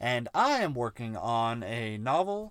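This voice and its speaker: Recorded very cleanly against a silent background, a man with a slight Southern US accent speaks with very wide pitch swings. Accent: slight Southern creeping in. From US South (Alabama, Georgia), moved there from elsewhere at seven. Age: 30s. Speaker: podcast co-host and writer. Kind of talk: casual chat; reading aloud own story.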